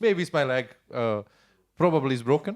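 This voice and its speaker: At a moderate rate, a man speaks with a non-native accent. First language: not English. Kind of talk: audience question at panel Q&A. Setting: panel event with audience. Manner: halting, hesitant.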